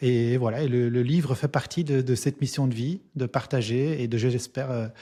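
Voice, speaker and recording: Here a man speaks at a medium pitch in a dark, mellow tone. His intonation is fairly even, and the background is quiet. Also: moderate pace. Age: 40s. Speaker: entrepreneur and business coach, author. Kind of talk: interview. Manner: hesitant, many fillers.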